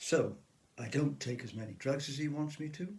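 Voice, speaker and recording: A man speaks at a fairly slow pace in a somewhat breathy voice. Audible room echo surrounds him. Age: 70s. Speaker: author with Parkinson's disease. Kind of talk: personal testimony to camera.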